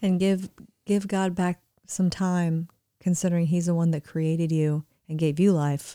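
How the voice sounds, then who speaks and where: In a slight Southern US accent, a woman speaks at a moderate pace in a dark, mellow tone, fairly low and monotone, with a dry, close sound and no echo. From Florida, US. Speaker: co-host. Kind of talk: casual chat.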